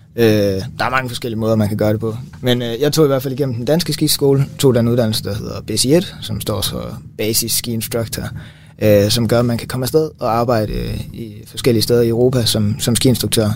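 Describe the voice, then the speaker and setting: A man with a medium pitch speaks with fairly even intonation over noticeable background noise. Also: moderate pace. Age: 20s. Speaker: physiotherapy student. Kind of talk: casual chat. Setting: studio.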